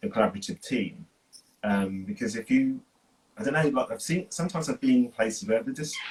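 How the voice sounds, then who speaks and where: A man at a very fast pace, fairly high in pitch, with very wide pitch swings. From England, Northampton. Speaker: dancer and choreographer. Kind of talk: interview conversation.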